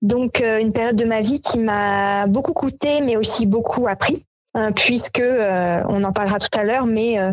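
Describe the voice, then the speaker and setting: This woman's voice sits fairly high and moves at a fairly slow pace. Her loudness stays very even, with ordinary pitch variation. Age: 30s. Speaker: association co-founder. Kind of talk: interview. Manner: hesitant, many fillers.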